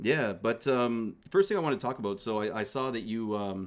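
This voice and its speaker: The speaker has a normal speaking voice with a Canadian accent and a moderate pace. The recording is very clean, with a silent background. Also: man. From Canada. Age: 30s. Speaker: streamer and podcast host. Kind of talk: casual interview.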